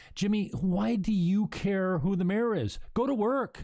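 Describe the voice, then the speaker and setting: Someone performs a put-on character voice at a middle pitch and a fairly slow pace. The recording is very clean, with a silent background. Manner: scolding, nagging.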